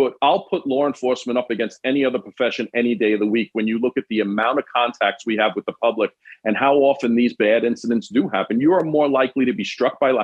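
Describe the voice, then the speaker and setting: Very fast speech with hardly any pauses comes in a New York accent. The pitch varies an ordinary amount. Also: man, medium pitch for a man. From New York City, Queens. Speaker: former police detective. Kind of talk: casual chat.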